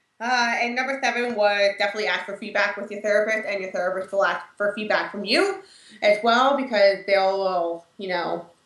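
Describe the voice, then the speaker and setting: A woman in a normal speaking voice talks at a moderate pace and medium pitch with fairly even intonation and big swings in loudness. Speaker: mental health video co-host. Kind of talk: casual informative chat.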